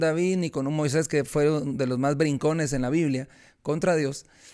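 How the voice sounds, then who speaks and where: A man speaks at a fairly high pitch with ordinary pitch variation. The recording is very clean, the background silent. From Guatemala. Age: 40s. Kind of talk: interview testimony.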